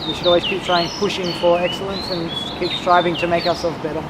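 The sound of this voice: Fast speech from a man with a high pitch and little pitch movement. Clear background noise sits behind him.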